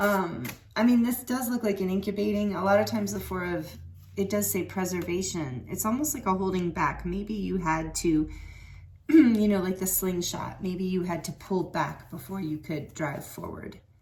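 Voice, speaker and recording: Speaking at a moderate pace with lively intonation and vocal fry, a woman is heard with audible room echo. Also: medium pitch for a woman. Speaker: tarot reader. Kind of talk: tarot card reading. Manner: halting.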